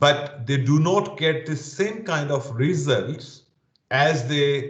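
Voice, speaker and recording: A man's somewhat breathy voice carries audible room echo. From Pakistan. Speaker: security training leader. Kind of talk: interview.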